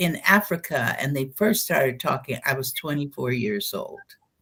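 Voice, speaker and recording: A woman speaks with lively intonation and a bright, sharp tone. Her pitch sits fairly low. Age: 70s. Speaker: spiritual channeler and educator. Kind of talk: interview. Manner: conversational storytelling.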